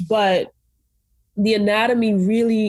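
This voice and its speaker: A woman's somewhat breathy, dark and mellow voice at medium pitch, fairly slow, with an American accent. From Brooklyn, New York. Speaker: medical student. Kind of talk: interview. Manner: casual, filler-heavy.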